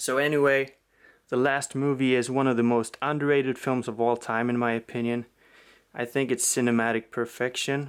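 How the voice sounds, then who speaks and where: Delivered in a Swedish accent at a moderate pace, the speech has monotone, flat intonation on a very clean recording with a silent background. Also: man, medium pitch for a man. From Sweden. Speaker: film collector YouTuber. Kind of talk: casual video review. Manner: hesitant, many fillers.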